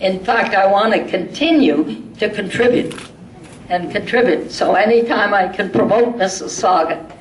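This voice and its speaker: Noticeable background noise behind a woman at a medium pitch and fairly slow pace, with lively intonation. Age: 80s+. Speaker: retired politician, former mayor. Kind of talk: public thank-you speech. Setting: live event, community centre. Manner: energetic.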